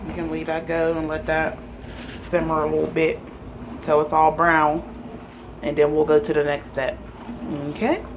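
Over noticeable background noise, the speech moves at a moderate pace with long, frequent pauses. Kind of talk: casual cooking tutorial. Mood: relaxed, playful. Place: kitchen. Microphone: phone near.

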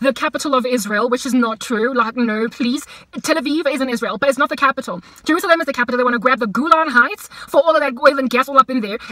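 Raised and projected, the voice comes very fast with an animated tone and a dry sound free of echo. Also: woman. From South Africa. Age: 30s. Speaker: vlogger. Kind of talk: casual vlog rant. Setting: in a car. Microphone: phone near.

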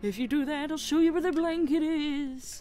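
Against clear background noise, a woman uses a put-on character voice with a theatrical, menacing tone. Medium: virtual streamer. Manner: theatrical, teasing, mock-menacing.

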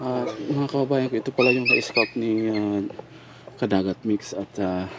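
A man talks, and noticeable background noise can be heard behind him. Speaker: vlogger. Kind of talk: walking vlog with appeal for help.

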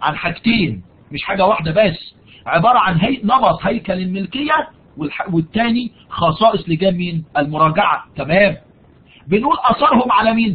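In an Egyptian accent, a man with a high pitch speaks with lively intonation. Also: moderate pace. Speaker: university lecturer. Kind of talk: online lecture. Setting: live online session. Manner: raises voice for emphasis.

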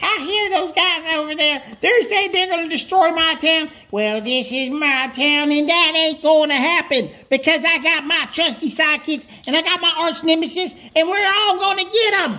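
A high-pitched voice at a moderate pace. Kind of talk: comic overacting. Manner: drawling, boastful.

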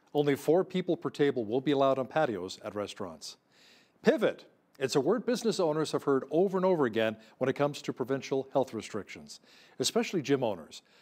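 Speaking very fast in a Canadian accent, a man uses a fairly high pitch with vocal fry. His pitch swings very widely. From Canada. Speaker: news anchor. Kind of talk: news reading. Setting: studio. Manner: formal. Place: studio.

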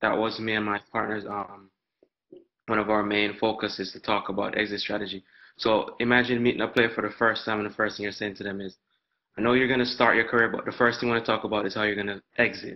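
Speaking at a very fast pace, a man has a fairly low pitch. His intonation is monotone and flat. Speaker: student. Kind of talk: classroom Q&A. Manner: polite.

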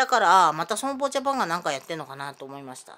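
Her tone bright and sharp, a woman speaks at a fairly quick pace with very wide pitch swings. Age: 50s. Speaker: vlogger; self-filming vlogger with grievances. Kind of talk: personal monologue vlog. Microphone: phone near.

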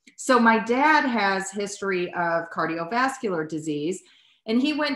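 A woman's bright, sharp voice with an American accent, against a quiet background with audible room echo. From United States. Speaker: podcast host, dietitian; podcast host. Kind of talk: casual chat. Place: home room. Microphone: lapel.

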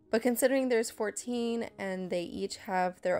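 A woman talks at a moderate pace, her pitch varying in an ordinary way, as music plays in the background. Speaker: painter. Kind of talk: casual voiceover narration.

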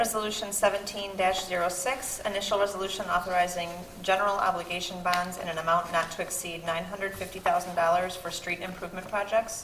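A woman's monotone, flat delivery at a moderate pace with hardly any pauses, plus audible room echo and light background noise. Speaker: city clerk. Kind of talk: reading aloud of resolutions. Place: meeting room. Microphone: podium.

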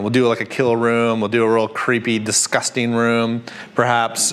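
The man's speech moves along at a moderate pace. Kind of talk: tutorial. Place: workshop. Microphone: lapel.

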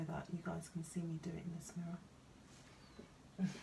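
A woman's fairly low voice with a London accent, over light background noise. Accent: southern English, London. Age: 40s. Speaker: beauty vlogger. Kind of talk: casual chat. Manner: chatty, rambling. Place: home room. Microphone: phone near.

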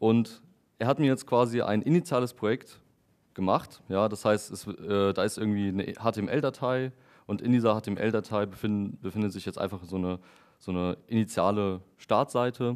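The background is quiet as a man speaks at a moderate pace. His voice sits fairly low, with ordinary pitch variation. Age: 20s. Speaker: software developer giving a tech talk. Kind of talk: lecture. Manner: hesitant with frequent fillers. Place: meeting room.

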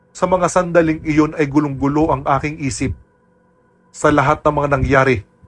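In a somewhat breathy, dramatic tone, a man with a fairly high voice speaks at a moderate pace. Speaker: voice actor narrator. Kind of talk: scripted horror narration of a listener's first-person aswang story, told in Tagalog. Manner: hushed, suspenseful, steady storytelling pace that builds tension; dramatic and somber, with grave emphasis on frightening moments.

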